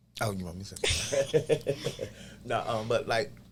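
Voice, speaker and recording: This man speaks at a fairly quick pace. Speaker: clinic health worker. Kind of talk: podcast interview. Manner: loud.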